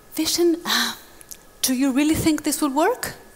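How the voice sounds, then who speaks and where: A woman puts on a character voice, high-pitched and shaky. She keeps to a moderate pace. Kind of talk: motivational talk. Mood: reflective, questioning.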